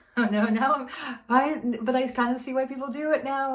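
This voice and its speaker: A woman whispers at a moderate pace. Audible room echo surrounds her voice. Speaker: beauty vlogger. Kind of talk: casual chat. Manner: meandering; whispering.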